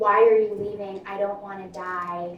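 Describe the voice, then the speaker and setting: A female-sounding put-on character voice shouts at a middle pitch with monotone, flat intonation. The pace is moderate, with a slight echo. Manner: screaming.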